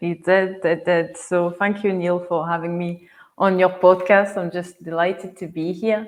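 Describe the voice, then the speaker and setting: The speaker here is a woman. Her voice is medium in pitch. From France. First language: French. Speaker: wellness coach. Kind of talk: podcast interview.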